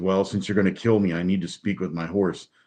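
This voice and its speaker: A man's growling, put-on character voice, very deep and low in pitch, with fairly even intonation at a very fast pace. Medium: solo performance.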